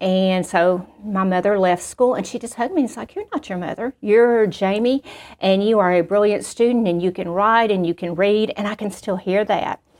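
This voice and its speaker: In a Southern US accent, a woman with a medium pitch speaks with ordinary pitch variation on a very clean recording with a silent background. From Arkansas. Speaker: school principal. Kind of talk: testimony.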